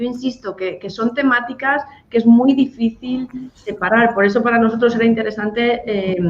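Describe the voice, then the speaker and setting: A moderate pace and fairly even intonation with a Spanish accent, against noticeable background noise. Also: woman, fairly high pitch for a woman. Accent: Spanish (Spain). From Spain. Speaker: NGO director. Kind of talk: radio interview.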